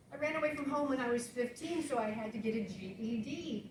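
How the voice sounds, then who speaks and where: Noticeable background noise and audible room echo surround a woman with an American accent who speaks at a high pitch with lively intonation. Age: 60s. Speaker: author. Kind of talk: talk to an audience.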